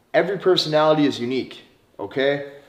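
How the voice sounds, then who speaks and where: Amid audible room echo, a man with an American accent talks at a fairly quick pace in a fairly high pitch. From US Midwest, North Dakota. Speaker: dating coach. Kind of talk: online course lecture.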